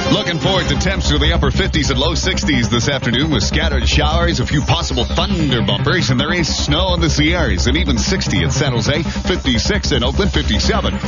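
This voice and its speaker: Loud music plays in the background as the speech runs at a fairly quick pace with hardly any pauses. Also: dry sound with no echo. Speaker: radio DJ. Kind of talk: radio DJ patter. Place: studio. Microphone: studio mic.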